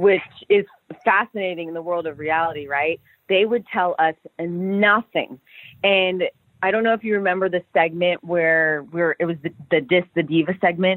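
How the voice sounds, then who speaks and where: A woman's fairly low-pitched voice, energetic and excited in tone, at a moderate pace. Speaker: former pro wrestler. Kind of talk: interview. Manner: energetic, excited.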